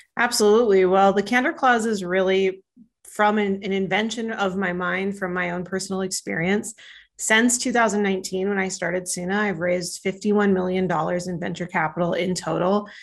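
Against a quiet background, a woman with an American accent talks fairly quickly at a medium pitch, with fairly even intonation, in a plain, everyday voice. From northern Minnesota. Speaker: startup founder and CEO. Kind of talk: podcast interview.

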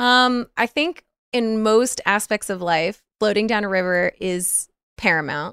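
In a very clean recording with a silent background and a dry, close sound with no echo, a woman talks at a fairly slow pace with a fairly high pitch, a bright, sharp tone and lively intonation. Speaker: Twitch streamer and podcaster. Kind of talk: casual chat.

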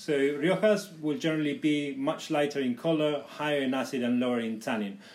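Audible room echo surrounds a man who speaks at a moderate pace with a fairly high pitch and lively intonation. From Spain (Tenerife). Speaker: sommelier. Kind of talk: casual chat.

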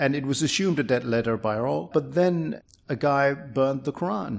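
A man speaks with a Danish accent and ordinary pitch variation. The recording is very clean, with a silent background. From Denmark. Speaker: free speech campaigner. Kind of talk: interview.

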